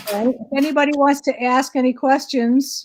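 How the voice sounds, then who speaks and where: This woman speaks at a fairly slow pace. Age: 60s. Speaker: medium. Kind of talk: casual chat.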